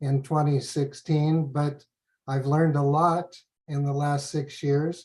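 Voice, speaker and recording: With an American accent, a man speaks at a moderate pace with a fairly high pitch. His dark, mellow, somewhat breathy tone stays monotone and flat. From US. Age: 70s. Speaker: professor. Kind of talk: lecture. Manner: halting.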